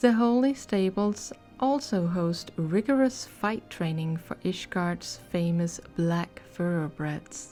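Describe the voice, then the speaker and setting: Over music in the background, a woman with a non-native accent talks very slowly with hardly any pauses, in a fairly low pitch, with lively intonation and a relaxed tone. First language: not English. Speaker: ASMR / gaming content creator. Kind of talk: ASMR lore reading. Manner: soft-spoken, relaxed.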